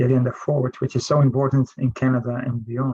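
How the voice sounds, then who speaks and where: Somewhat breathy and pitched in the medium range, a man speaks with a Dutch accent in a dry, close recording with no echo. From Netherlands. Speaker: professor. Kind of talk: panel discussion. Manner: halting, many fillers.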